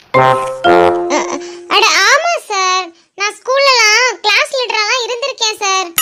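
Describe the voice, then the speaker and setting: A squeaky, put-on character voice at a very slow pace, with music in the background. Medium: cartoon. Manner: naive, cheeky.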